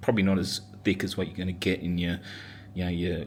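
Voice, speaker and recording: The voice carries an Australian accent. It sounds somewhat breathy. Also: man. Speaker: home barbecue enthusiast. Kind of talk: casual cooking video talk. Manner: hesitant, many fillers.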